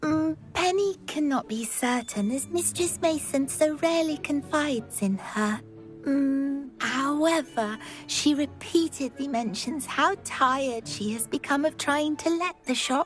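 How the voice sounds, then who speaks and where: A female-sounding put-on character voice speaks at a high pitch for a woman and a fairly slow pace. Clear music plays in the background. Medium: video game. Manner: speaks in third person, eager, rambling.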